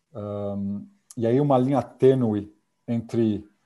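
This man has a dark, mellow tone. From Brazil. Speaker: corporate security manager. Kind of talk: casual interview.

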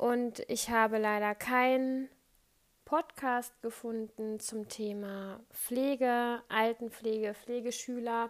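A woman talks in a fairly high pitch with monotone, flat intonation. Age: 20s. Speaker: nursing student. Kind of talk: podcast monologue. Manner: halting; hesitant, many fillers.

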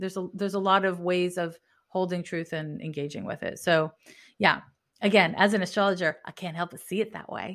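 On a very clean recording with a silent background, a woman with an unremarkable speaking voice talks at a fairly quick pace in a medium pitch, her intonation fairly even but her loudness swinging widely. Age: 40s. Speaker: astrologer and animal communicator. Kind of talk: casual interview conversation.

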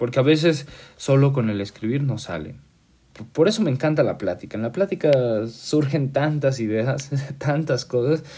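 The man's voice is somewhat breathy and fairly high in pitch, with a dark, mellow tone. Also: ordinary pitch variation, moderate pace. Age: 20s. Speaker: podcast host. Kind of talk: casual monologue. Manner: halting.

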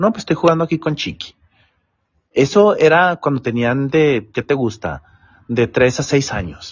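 With lively intonation and a somewhat breathy voice, a man speaks at a fairly slow pace and a fairly high pitch. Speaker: office worker. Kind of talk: storytelling.

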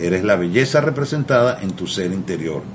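Over noticeable background noise, a man talks at a fairly slow pace with lively intonation. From Venezuela. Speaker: mental health therapist. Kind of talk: radio interview.

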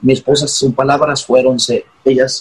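A somewhat breathy man's voice at medium pitch, fairly slow in pace. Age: 40s. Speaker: pastor. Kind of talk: interview.

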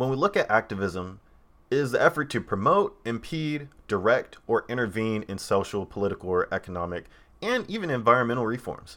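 Lively intonation, a fairly quick pace and a bright, sharp tone. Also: man, medium pitch for a man. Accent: American. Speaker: podcaster and AR developer. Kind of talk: solo podcast monologue. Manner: casual, many fillers.

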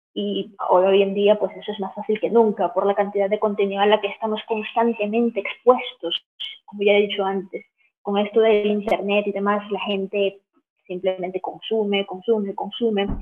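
A woman at a medium pitch and moderate pace, with monotone, flat intonation. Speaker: film analyst and YouTuber. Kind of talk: interview.

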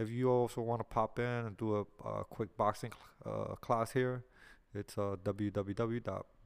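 In a very clean recording with a silent background, a man with a New York accent speaks fairly slowly at a fairly low pitch with fairly even intonation. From New York City, Lower East Side. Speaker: podcast host and boxing coach. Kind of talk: casual podcast intro monologue. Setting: studio. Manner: hesitant, many fillers.

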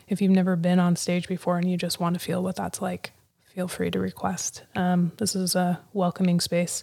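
In a very clean recording with a silent background, a woman with an American accent speaks at a moderate pace and fairly low pitch, her tone dark and mellow, somewhat breathy, with flat, monotone intonation. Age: 30s. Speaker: podcast host. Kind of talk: casual interview. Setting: live audio chat room.

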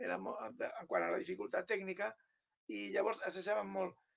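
A man speaks at a moderate pace. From Catalonia (Penedès). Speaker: writer. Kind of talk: interview conversation.

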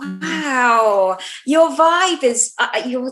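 Lively in intonation, a woman speaks at a high pitch with a British accent. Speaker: podcast co-host. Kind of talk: casual chat.

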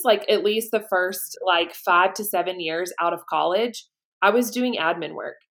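A woman speaks with a slight Southern US accent. She keeps a moderate pace and ordinary pitch variation. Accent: slight Southern twang. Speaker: podcast host. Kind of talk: casual interview chat.

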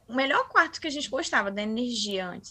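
A woman talks at a very fast pace in a high pitch. Her intonation is lively. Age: 20s. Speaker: paranormal experience narrator. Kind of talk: testimony.

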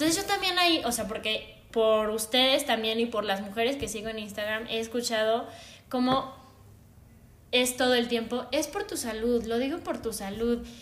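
Audible room echo around a woman's fairly high voice, ordinary in pitch variation, at a moderate pace. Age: 20s. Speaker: psychologist and former figure skater. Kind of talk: casual chat.

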